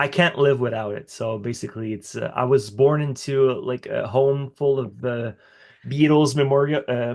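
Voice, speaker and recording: A man at a medium pitch with a slight French accent, fairly even intonation and a moderate pace, against a quiet background. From Quebec, Canada (Montreal). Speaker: musician. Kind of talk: interview. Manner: halting.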